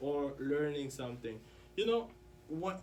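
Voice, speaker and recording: With audible room echo, a man talks at a moderate pace in a fairly high pitch with lively intonation. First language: French. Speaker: interview guest, student. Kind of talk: casual interview.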